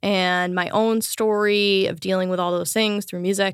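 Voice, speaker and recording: On a very clean recording with a silent background, a woman speaks in a normal speaking voice at a medium pitch with fairly even intonation. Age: 30s. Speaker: podcaster and bass player. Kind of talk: interview. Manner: casual, filler-heavy.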